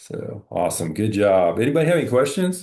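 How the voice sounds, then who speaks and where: This man's fairly low voice has a dark, mellow tone and vocal fry, with very wide pitch swings. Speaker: counseling instructor. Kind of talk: class discussion. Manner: encouraging, conversational.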